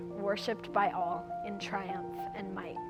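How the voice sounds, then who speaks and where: At a moderate pace, a woman talks with music in the background. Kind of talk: spoken word poetry performance.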